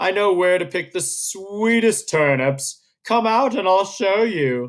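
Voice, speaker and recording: Putting on a growling character voice, a man speaks at a high pitch and a fairly slow pace. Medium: read story.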